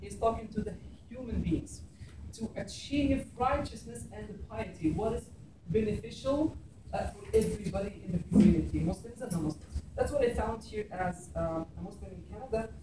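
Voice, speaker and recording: At a moderate pace, a man speaks with audible room echo and noticeable background noise. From Egypt. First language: Arabic. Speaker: imam. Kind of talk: public talk. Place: classroom. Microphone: camera far.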